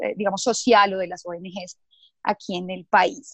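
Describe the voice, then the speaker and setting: A woman's voice comes through with a dry, close sound with no echo. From Colombia, Bogotá. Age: 30s. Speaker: corporate communications manager. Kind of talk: interview. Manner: halting, with frequent repetitions and fillers.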